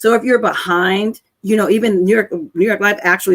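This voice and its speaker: In a dry, close sound with no echo, a woman speaks in a plain, everyday voice at a moderate pace with ordinary pitch variation. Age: 60s. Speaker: life insurance agent. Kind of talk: interview.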